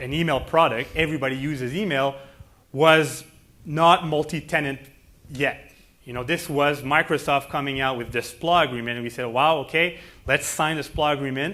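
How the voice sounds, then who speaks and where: A man speaks with a Quebec accent. His pitch is fairly high and his pace is moderate. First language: French. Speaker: company president. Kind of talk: keynote speech.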